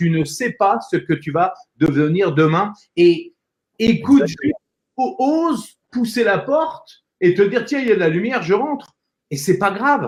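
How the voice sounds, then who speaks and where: Speaking fairly slowly, a man uses a high pitch that swings very widely. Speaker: voice-over actor, public speaking coach and entrepreneur. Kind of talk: interview answer, conversational motivational talk.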